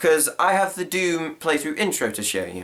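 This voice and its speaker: A man with a rather high voice speaks fairly fast as clearly audible noise runs behind him. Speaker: cosplayer and YouTuber. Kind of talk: casual vlog.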